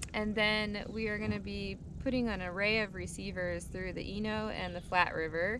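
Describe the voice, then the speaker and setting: A woman speaks over noticeable background noise. The sound is dry with no echo. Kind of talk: interview answer. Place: boat.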